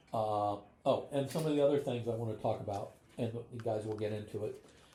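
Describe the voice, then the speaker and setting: A man's medium-pitched, somewhat breathy voice with a dark, mellow tone and an American accent, at a moderate pace with fairly even intonation. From US Midwest, northwest Ohio (Van Wert County). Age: 70s. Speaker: podcast host. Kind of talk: casual chat, film discussion over dinner. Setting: around a dinner table at home.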